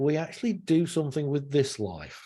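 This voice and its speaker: His voice sits fairly high for a man, with a dark, mellow tone. There is a somewhat breathy edge to it. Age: 70s. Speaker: interviewer. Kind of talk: interview. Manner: animated.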